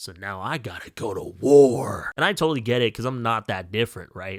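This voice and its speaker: A man with an ordinary speaking voice, at a fairly quick pace with ordinary pitch variation, in a very clean recording with a silent background. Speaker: book reviewer. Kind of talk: casual vlog monologue.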